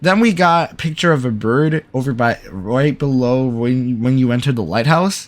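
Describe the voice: The pitch shows ordinary variation. The delivery is plain reading aloud.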